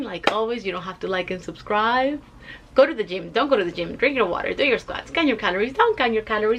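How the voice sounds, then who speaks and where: Over noticeable background noise, a woman with a Spanish accent talks at a very fast pace with lively intonation. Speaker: weight loss vlogger. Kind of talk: casual vlog. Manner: conversational with fillers.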